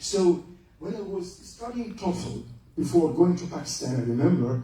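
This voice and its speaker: In an Egyptian accent, a man speaks at a fairly slow pace with high pitch and lively intonation, amid audible room echo and noticeable background noise. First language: Arabic. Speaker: lecturer, retired general. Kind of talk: lecture.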